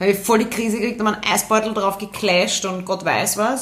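Noticeable background noise sits behind a woman's voice. She talks very fast at a medium pitch in an animated tone. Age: 30s. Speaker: podcast co-host. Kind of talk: casual chat.

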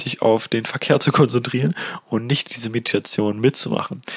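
A man's ordinary speaking voice at medium pitch, moderate pace and ordinary pitch variation, with a dry, close sound and no echo. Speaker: podcast host and meditation guide. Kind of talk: guided meditation. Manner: gentle, hypnotic, repetitive, second-person instructions.

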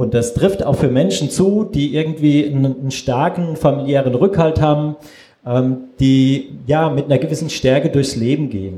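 Noticeable background noise under a man with a fairly high pitch, ordinary pitch variation and a moderate pace. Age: 40s. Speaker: photographer. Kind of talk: panel discussion.

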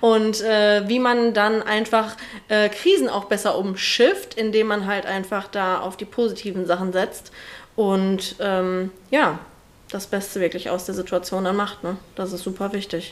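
A woman speaks at a fairly slow pace, her pitch in the medium range. Her intonation stays fairly even in a plain, everyday voice. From Ruhr area, Germany (Oberhausen). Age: 20s. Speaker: hairdresser. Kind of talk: casual interview.

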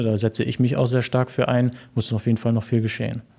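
In a very clean recording with a silent background, a man speaks in a dark, mellow tone with fairly even intonation. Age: 20s. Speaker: young local party politician and history student. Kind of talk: interview. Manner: hesitant, many filler sounds.

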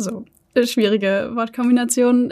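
A high-pitched woman's voice at a fairly slow pace, dark and mellow in tone. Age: 20s. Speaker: startup founder. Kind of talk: interview.

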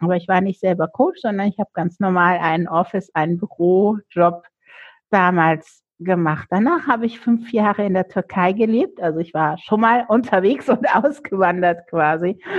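A woman's medium-pitched, moderately paced voice with ordinary pitch variation, an ordinary speaking voice. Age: 50s. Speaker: coach. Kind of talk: interview.

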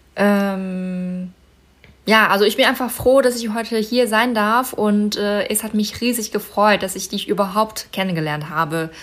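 A woman with a medium pitch speaks fairly slowly, her intonation fairly even. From China, Inner Mongolia (Baotou). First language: Mandarin Chinese (speaking German). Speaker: model and concert pianist. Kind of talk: interview.

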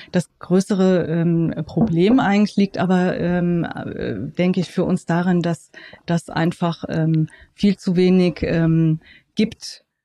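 In a dry, close sound with no echo, a woman with a fairly low pitch and a dark, mellow tone speaks very slowly with fairly even intonation. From Germany, Frankfurt. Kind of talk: interview. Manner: hesitant, many fillers.

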